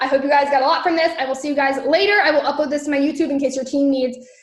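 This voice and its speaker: Talking at a very fast pace in an animated tone, a woman with a high pitch is heard over noticeable background noise and audible room echo. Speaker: network marketing trainer. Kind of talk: training livestream.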